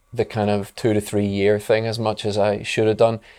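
A dark, mellow tone with a Northern Irish accent. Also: man. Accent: Northern Irish (Belfast). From Northern Ireland, Belfast. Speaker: pastor. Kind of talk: interview. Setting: podcast recording.

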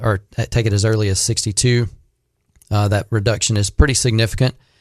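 A man's somewhat breathy voice at a fairly quick pace, with fairly even intonation and a quiet background. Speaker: Social Security and Medicare advisor. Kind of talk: radio call-in Q&A. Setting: radio studio.

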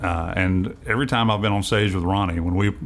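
This is a man speaking. His pitch is fairly low. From Tennessee. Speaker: independent country singer-songwriter. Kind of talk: casual interview. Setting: studio.

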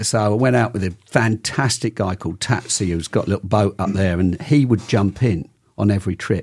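A man with a British accent, a fairly low pitch, a fairly quick pace and a somewhat breathy voice. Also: ordinary pitch variation. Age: 60s. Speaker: outdoor gear company owner. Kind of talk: casual chat.

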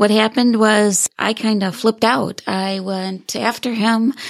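A woman with a normal speaking voice talks at a fairly slow pace with fairly even intonation, in a very clean recording with a silent background. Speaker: parent of a recovering addict. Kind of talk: casual conversation. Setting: studio.

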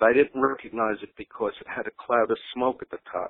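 In a normal speaking voice, a man of medium pitch talks at a moderate pace with fairly even intonation. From New York City. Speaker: retired fire captain and author. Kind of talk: interview.

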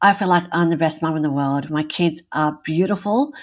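On a very clean recording with a silent background, a woman with an Australian accent speaks at a moderate pace and a fairly low pitch. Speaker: burns survivor, author, mother. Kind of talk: casual interview.

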